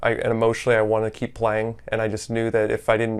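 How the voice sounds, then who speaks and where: The speaker is a man with a medium pitch. He talks very fast. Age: 30s. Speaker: weight loss client, amateur volleyball player. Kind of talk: testimonial interview. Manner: casual, many fillers and repetitions.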